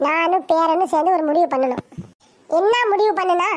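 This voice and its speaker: At a fairly slow pace, a woman talks in an extremely high pitch. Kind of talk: comic village bickering. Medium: fan dub. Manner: boastful, scolding, sly.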